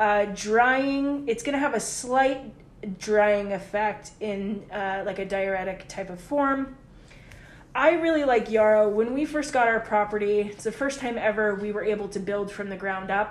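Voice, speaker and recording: An ordinary speaking voice from a woman, fairly high in pitch, fairly slow, with ordinary pitch variation. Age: 30s. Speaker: herbalist. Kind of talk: casual chat.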